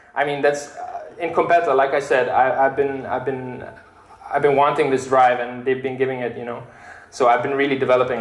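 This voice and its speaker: Against noticeable background noise and audible room echo, a man with a medium pitch speaks at a fairly quick pace. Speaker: software developer giving a tech talk. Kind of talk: meetup tech talk with live coding demo. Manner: loud; casual, filler-heavy and animated.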